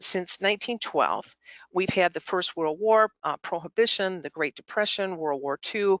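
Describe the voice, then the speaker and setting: A woman speaks at a medium pitch and a moderate pace, her pitch varying in an ordinary way, with a dry, close sound and no echo. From Michigan, US Midwest. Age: 60s. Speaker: nonprofit chief executive. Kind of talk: annual meeting presentation. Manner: halting, many fillers.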